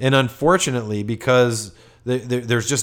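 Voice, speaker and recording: A man's normal speaking voice at medium pitch, fairly quick, with ordinary pitch variation. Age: 40s. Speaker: marketing agency executive, podcast co-host. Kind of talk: casual business discussion.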